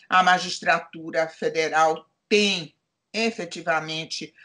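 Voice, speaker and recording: A woman's fairly low-pitched voice with a bright, sharp tone, at a very slow pace against a quiet background. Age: 70s. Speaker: retired judge, now lawyer. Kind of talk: interview.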